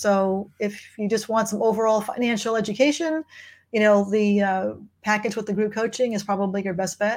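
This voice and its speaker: Her intonation stays fairly even. The woman's pitch is fairly high. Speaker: financial coach. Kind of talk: live online office hours Q&A chat. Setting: live video stream on social media. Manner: fast talker.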